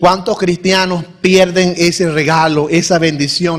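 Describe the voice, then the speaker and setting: Over noticeable background noise, a man with a high voice talks at a fairly slow pace with fairly even intonation. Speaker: pastor. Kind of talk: sermon. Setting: church.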